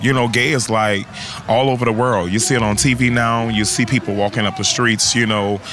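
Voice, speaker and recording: Faint music plays in the background as a man talks at a fairly quick pace with ordinary pitch variation, the sound dry with no echo. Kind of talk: interview answer. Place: street. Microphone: handheld.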